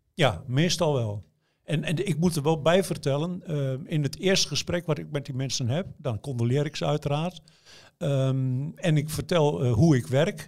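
A man talks in a somewhat breathy voice. His pitch is fairly high, with ordinary variation. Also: moderate pace. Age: 60s. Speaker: newspaper journalist writing obituary stories. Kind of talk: interview. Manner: hesitant, many fillers.

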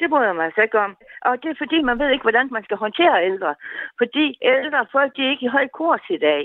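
A woman talks fairly quickly in a high voice whose pitch swings very widely. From North Jutland, Denmark. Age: 70s. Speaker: radio listener caller. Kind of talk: casual phone-in chat. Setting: phone call.

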